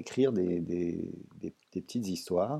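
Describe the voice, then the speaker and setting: A man speaks against a quiet background. His tone is dark and mellow. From France. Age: 60s. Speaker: writer and doctor. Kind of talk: interview.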